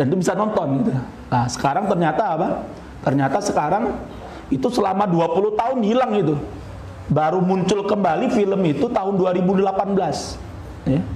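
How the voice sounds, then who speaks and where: A man speaks with a high pitch and lively intonation at very even loudness, with light background noise and audible room echo. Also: moderate pace. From Indonesia. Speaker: Islamic preacher; religious teacher. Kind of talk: religious lecture. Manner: animated. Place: hall. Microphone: podium.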